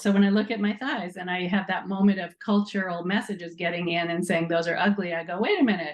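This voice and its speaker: A woman talks at a fairly quick pace. Noticeable background noise runs beneath her voice. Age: 60s. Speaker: nonprofit co-founder. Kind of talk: interview.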